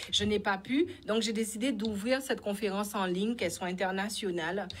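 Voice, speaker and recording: At a fairly quick pace, a woman talks with an Antillean accent, using a medium pitch and ordinary pitch variation. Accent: Antillean accent, noticeable. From French Antilles (Guadeloupe). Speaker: spiritual coach and speaker. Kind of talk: interview.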